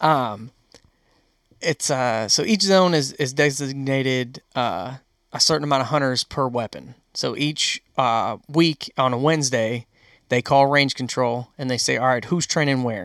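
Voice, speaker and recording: With an American accent, a man speaks at a medium pitch in a normal speaking voice, with a dry, close sound without echo and a very clean recording over a silent background. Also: ordinary pitch variation, fairly slow pace. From Western New York. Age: 20s. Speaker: hunter. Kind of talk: casual chat.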